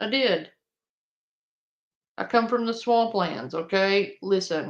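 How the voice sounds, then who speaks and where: A woman talks at a very slow pace. Her pitch sits in the medium range and varies in an ordinary way. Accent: Louisiana. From Louisiana, US South (Cajun). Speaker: streamer reacting to online drama. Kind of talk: casual livestream chat.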